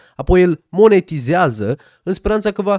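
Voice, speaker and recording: Against a quiet background, the speaker talks at a fairly slow pace. The sound is dry, with no echo. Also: man. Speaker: commentary youtuber. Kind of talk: commentary. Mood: sarcastic, critical. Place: studio. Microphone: studio mic.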